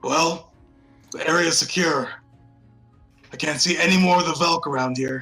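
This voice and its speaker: A man's raspy, high-pitched put-on character voice at a moderate pace, with faint music in the background. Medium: actual play. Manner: blunt, plainspoken.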